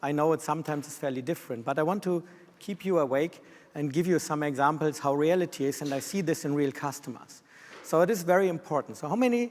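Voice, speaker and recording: The speaker is a man with a German accent. He has a fairly high pitch and a fairly quick pace. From Germany. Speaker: systems engineer. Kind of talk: conference presentation. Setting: stage with audience. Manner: fast.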